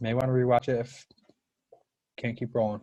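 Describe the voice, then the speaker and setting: A man speaks at a very fast pace in a medium pitch, somewhat breathy, against a quiet background. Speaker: high school chemistry teacher. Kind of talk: live online class lecture. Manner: rushed.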